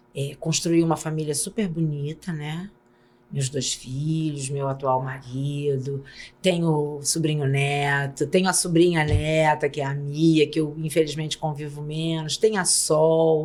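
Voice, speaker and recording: A woman with a very deep, low voice, fairly slow in pace, her intonation fairly even. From Brazil, São Gonçalo (Rio de Janeiro state). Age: 60s. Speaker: pediatrician and auditor. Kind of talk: podcast interview.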